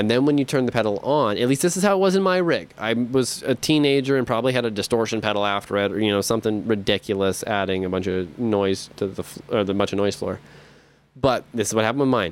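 Speaking at a very fast pace, a man uses a medium pitch and lively intonation. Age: 20s. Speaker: musician podcaster. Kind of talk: casual monologue.

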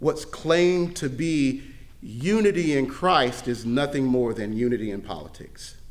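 A man with an American accent, fairly high in pitch and lively in intonation, at a fairly slow pace with audible room echo. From Mississippi, US South. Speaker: pastor. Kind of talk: sermon. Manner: halting, frequent word repetitions.

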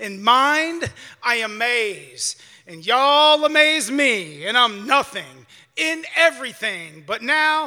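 A man raises and projects his voice, his tone bright and sharp, with ordinary pitch variation. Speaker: poet performing at open mic. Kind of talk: spoken word poetry performance.

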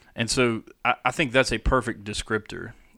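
A plain, everyday voice from a man, fairly slow and fairly even in intonation, on a very clean recording with a silent background. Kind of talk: casual chat.

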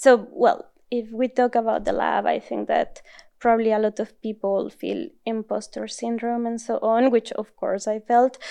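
With a Mexican accent, a woman talks at a moderate pace. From northern Mexico. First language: Spanish. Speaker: neuroscience postdoc. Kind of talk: interview. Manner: frequent laughter.

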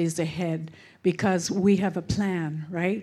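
This woman speaks at a very slow pace in a western Canadian accent. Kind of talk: church greeting. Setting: church with congregation.

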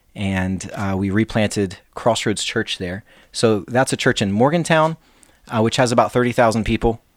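On a very clean recording with a silent background, a man with an Appalachian accent talks at a fairly slow pace. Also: medium pitch for a man, ordinary pitch variation. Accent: Appalachian American. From Lincoln County, West Virginia. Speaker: pastor and author. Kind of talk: casual interview.

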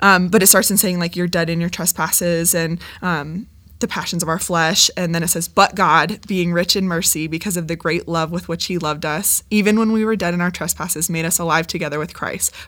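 A woman with an American accent and a plain, everyday voice, fairly low in pitch, at a fairly quick pace, on a very clean recording with a silent background. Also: fairly even intonation. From Ohio. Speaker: junior high teacher. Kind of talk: casual chat. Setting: studio.

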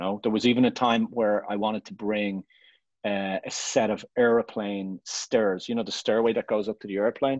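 A man at a moderate pace, fairly low-pitched with fairly even intonation and big swings in loudness, in a dry, close sound with no echo and a quiet background. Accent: Irish. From Ireland. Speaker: photographer. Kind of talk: casual interview chat.

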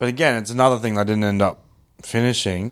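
Words come at a very fast pace in an Australian accent. The intonation is flat and monotone. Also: man. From Brisbane, Australia. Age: 30s. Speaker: comedian. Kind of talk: casual chat. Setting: at the host's home.

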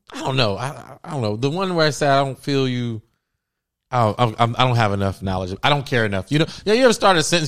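A man with an American accent, medium-pitched and very fast, with very wide pitch swings, on a very clean recording with a silent background. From US Midwest (Cincinnati, Ohio). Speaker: podcast host, artist. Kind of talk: casual chat.

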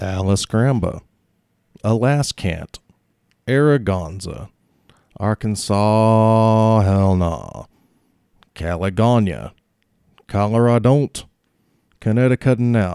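A man's fairly low voice at a very slow pace, with long, frequent pauses and ordinary pitch variation, on a very clean recording with a silent background. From Mississippi. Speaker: comedian and podcast host. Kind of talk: scripted comedy sketch; stand-up hosting. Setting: stage with audience.

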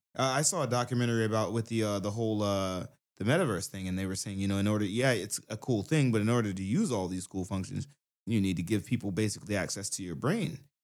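Over a very clean recording with a silent background, a man with an American accent speaks at a very fast pace in a fairly low voice with ordinary pitch variation. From US South, Brunswick, Georgia. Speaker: rapper, musician. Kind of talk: casual chat. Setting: studio.

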